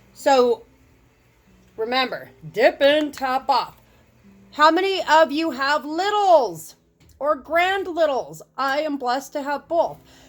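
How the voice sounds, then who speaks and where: With music in the background, a high-pitched woman speaks at a very slow pace with ordinary pitch variation and long, frequent pauses. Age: 40s. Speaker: makeup tutorial host. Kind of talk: tutorial. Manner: animated.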